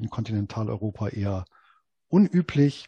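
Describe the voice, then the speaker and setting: A man's somewhat breathy voice with a dark, mellow tone, dry and close with no echo, over a quiet background. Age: 40s. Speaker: investment blogger and author. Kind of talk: interview.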